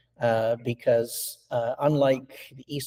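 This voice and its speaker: Somewhat breathy and dark, mellow in tone, a man speaks in a monotone, flat way, recorded with a dry, close sound and no echo. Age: 60s. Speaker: stone sculptor. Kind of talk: interview. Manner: halting, many fillers and repetitions.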